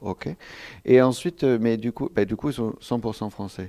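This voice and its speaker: On a very clean recording with a silent background, a man with a dark, mellow tone speaks at a moderate pace with ordinary pitch variation. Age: 30s. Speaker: film director. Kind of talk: interview. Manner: halting.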